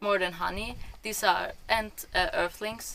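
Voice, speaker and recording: A woman speaks with a German accent. Her tone is bright and sharp. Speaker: vlogger. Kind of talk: casual chat. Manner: halting.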